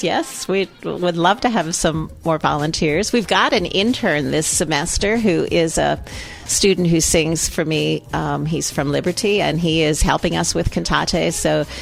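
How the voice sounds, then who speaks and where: A woman at a fairly slow pace with hardly any pauses, music playing in the background. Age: 70s. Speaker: children's choir director. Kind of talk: radio interview. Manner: halting, many fillers.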